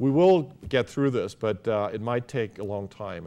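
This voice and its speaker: A man with a German accent, dark, mellow tone and moderate pace. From Germany. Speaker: business school academic. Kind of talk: interview. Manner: halting, many fillers.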